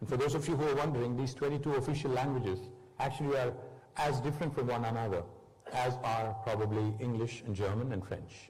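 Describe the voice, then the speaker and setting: A man talks at a fairly quick pace in a confident tone and medium pitch, with ordinary pitch variation and very even loudness, over noticeable background noise. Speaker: politician and former state minister giving a keynote speech. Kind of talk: conference keynote speech. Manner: fluent, confident public speaking with occasional hesitation fillers.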